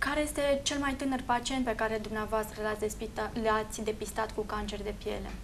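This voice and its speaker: In an ordinary speaking voice, a woman with a fairly high pitch talks at a moderate pace with hardly any pauses and fairly even intonation over light background noise. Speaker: TV health show host. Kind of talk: TV show intro and interview questions. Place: office.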